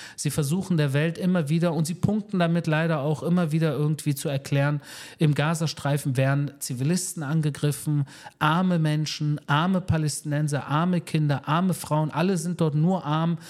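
On a very clean recording with a silent background, a man with an unremarkable speaking voice and a fairly high pitch talks at a moderate pace with very even loudness and fairly even intonation. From Germany, Berlin (Wedding). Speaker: military spokesperson. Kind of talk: interview. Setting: in person in Tel Aviv.

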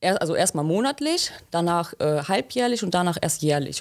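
On a very clean recording with a silent background, a woman with a normal speaking voice talks at a fairly low pitch. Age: 20s. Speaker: trainee pipe fitter. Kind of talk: interview.

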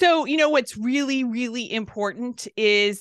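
A plain, everyday voice with an American accent moves at a fairly slow pace with ordinary pitch variation, recorded dry and close with no echo. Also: woman, quiet background. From Southern California. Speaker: entrepreneur and business coach. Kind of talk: interview.

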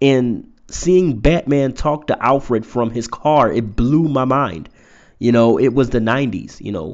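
A man's plain, everyday voice at a medium pitch, fairly slow pace and ordinary pitch variation. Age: 30s. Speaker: podcast host and poet. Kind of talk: motivational monologue. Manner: casual, with many fillers.

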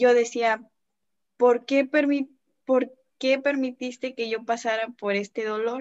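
A woman speaks at a very slow pace with long, frequent pauses, her high-pitched voice monotone and flat, recorded with a dry, close sound and no echo. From Mexico, Tamaulipas. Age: 20s. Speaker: young churchgoer guest. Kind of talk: casual chat.

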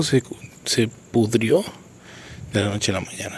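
A man with a central Mexican accent and ordinary pitch variation. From Mexico, Querétaro. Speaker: podcaster and motivational speaker. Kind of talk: solo podcast monologue, reflective commentary.

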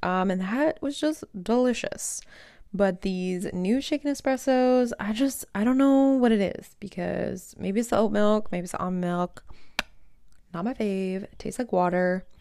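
At a fairly slow pace, a woman speaks in a dark, mellow tone on a very clean recording with a silent background. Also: medium pitch for a woman, ordinary pitch variation. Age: 20s. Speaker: podcast host. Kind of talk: solo casual monologue. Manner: casual with filler words.

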